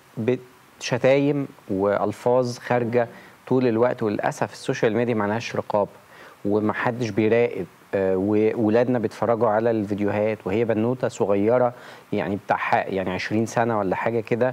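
Moderate pace and fairly even intonation from a man. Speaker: talk show guest. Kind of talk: interview answer. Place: studio. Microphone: lapel.

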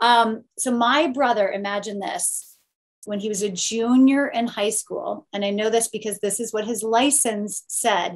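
In a Californian accent, a woman talks at a fairly slow pace with a fairly high pitch and fairly even intonation. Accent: American (Californian). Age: 40s. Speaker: Olympic swimmer, TV broadcaster; guest. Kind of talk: panel discussion. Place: home room. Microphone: webcam.

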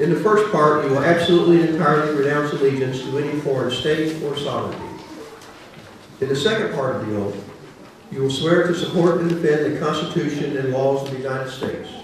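Strong room echo and light background noise surround a man talking at a fairly quick pace. His pitch is fairly high, with ordinary pitch variation. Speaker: federal judge. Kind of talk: ceremonial speech. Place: hall.

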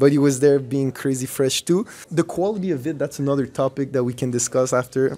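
Over faint music in the background, a man with a fairly high pitch speaks at a fairly quick pace with ordinary pitch variation. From Montreal, Quebec. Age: 20s. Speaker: breakdancer; interviewee. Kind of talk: interview.

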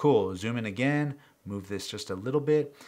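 A man at a fairly quick pace with lively intonation, against noticeable background noise. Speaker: music gear youtuber. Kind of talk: tutorial. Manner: fast; casual. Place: studio.

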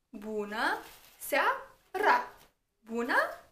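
A woman's bright, sharp voice with lively intonation and audible room echo. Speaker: language teacher. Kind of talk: tutorial. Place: home room.

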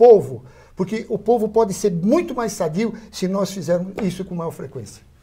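High-pitched with a dark, mellow tone, a man talks fairly slowly with lively intonation. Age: 70s. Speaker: physician; guest. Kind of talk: interview. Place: studio. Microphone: lapel.

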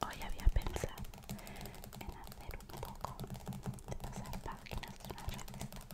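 The speaker moves at a fairly slow pace, leaving long, frequent pauses. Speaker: ASMR creator. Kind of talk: ASMR whisper video.

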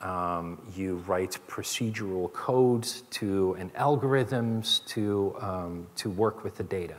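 At a very slow pace, a man speaks in a fairly low pitch with ordinary pitch variation. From Netherlands. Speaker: chief information security officer; keynote speaker. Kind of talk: keynote speech. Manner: hesitant, many fillers. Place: stage. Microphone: headset.

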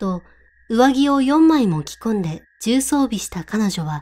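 Speaking fairly slowly, this woman has a fairly high voice whose pitch swings very widely. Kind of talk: ghost story reading.

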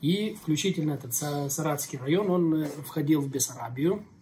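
Over light background noise, a man with a plain, everyday voice and a fairly high pitch talks at a moderate pace with fairly even intonation. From Moldova. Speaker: pastor and interviewer. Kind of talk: casual interview. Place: cafe. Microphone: phone near.

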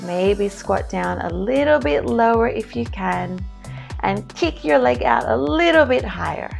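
Faint music plays in the background as the speaker talks at a fairly slow pace. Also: woman. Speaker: fitness instructor. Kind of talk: workout instruction cues.

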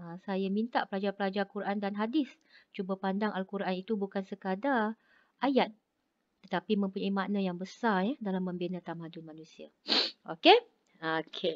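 Against a quiet background, the voice swings widely in loudness, keeping a moderate pace and ordinary pitch variation. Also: woman. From Malaysia. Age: 40s. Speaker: lecturer. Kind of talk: lecture. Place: home room. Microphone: video call.

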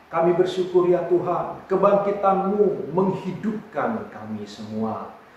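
Over light background noise and strong room echo, a man speaks very slowly with lively intonation. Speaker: pastor. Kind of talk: sermon greeting and prayer. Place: home room. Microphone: camera far.

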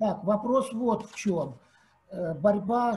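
A man speaks at a very slow pace. His high pitch shows ordinary variation. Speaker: seminar audience member; audience member. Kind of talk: Q&A discussion. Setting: video call. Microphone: video call.

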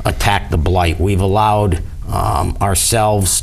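In a normal speaking voice, a man talks at a fairly slow pace, his fairly low pitch showing ordinary pitch variation. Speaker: candidate. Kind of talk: interview answer. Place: studio. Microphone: lapel.

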